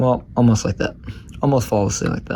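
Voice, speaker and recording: A man speaks quietly at a very fast pace, his pitch medium. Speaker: toy reviewer. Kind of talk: casual product review to camera. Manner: quiet, monotone.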